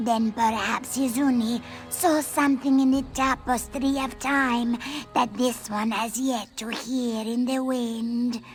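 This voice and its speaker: Using a put-on character voice, a woman speaks at a high pitch with fairly even intonation. Her pace is fairly slow, with clear music in the background. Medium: video game. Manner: formal, refers to self in third person.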